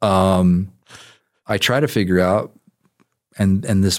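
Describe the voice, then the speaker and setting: A man talks at a fairly slow pace. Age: 50s. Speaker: licensed counselor and Army veteran. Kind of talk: casual chat.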